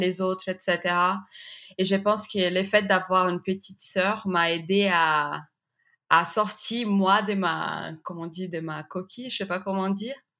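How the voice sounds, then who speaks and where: At a fairly slow pace, a woman with a Brazilian accent speaks at medium pitch, her tone bright and sharp and her intonation fairly even. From Brazil, Recife. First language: Portuguese (speaking French). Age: 30s. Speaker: graphic designer. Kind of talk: interview testimony. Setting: remote interview.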